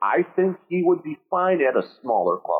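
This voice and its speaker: A man speaking at a fairly slow pace. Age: 40s. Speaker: podcast host, show patron. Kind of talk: casual chat.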